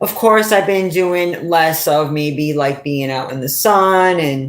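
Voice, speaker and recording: A woman with a New England accent, at a very slow pace. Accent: New England, often mistaken for New York. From New England, US. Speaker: YouTuber and commentator. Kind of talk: casual vlog monologue.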